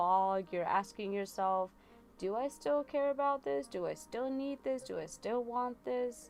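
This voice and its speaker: Music plays in the background as a woman speaks at a moderate pace with ordinary pitch variation. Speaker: tarot reader livestreamer. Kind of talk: live tarot reading with chat. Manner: casual, filler-heavy.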